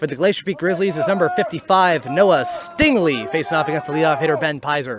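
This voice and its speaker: A man with a high-pitched voice talks at a fairly quick pace against noticeable background noise. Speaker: baseball play-by-play announcer. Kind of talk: live commentary. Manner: stutters at times.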